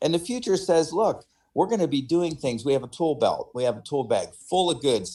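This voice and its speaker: A man's voice with very wide pitch swings. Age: 60s. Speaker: city council member. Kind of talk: council meeting remarks. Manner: casual, conversational.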